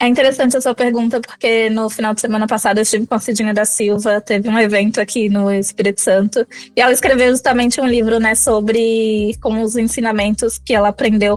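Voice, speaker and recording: The speech runs at a fairly quick pace with hardly any pauses. Loudness stays very even, and the intonation is monotone and flat. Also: woman, fairly high pitch for a woman. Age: 20s. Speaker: author. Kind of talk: interview.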